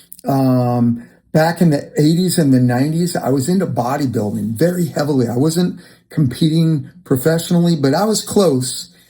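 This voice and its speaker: This man talks at a moderate pace with a fairly high pitch and ordinary pitch variation. His tone is dark and mellow, and somewhat breathy. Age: 60s. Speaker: fitness vlogger. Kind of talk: personal testimony monologue. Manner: hesitant, many fillers; conversational.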